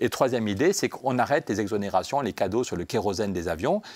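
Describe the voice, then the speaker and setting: A man's very fast, fairly low-pitched speech on a very clean recording with a silent background. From France, Pyrenees. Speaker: member of European Parliament, politician. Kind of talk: radio interview. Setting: radio studio in European Parliament. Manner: animated.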